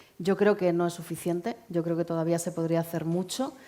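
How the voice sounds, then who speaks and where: A woman's fairly low voice, fairly even in intonation and fairly quick, over noticeable background noise. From Spain. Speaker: aid organisation director. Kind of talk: public talk, interview on stage. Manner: conversational, with frequent filler 'eh'.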